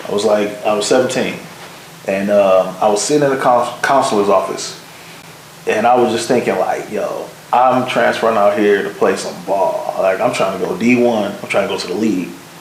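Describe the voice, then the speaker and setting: At a moderate pace, a man talks over noticeable background noise with audible room echo. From Michigan, Detroit area (Pontiac). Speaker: video producer. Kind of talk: casual interview chat.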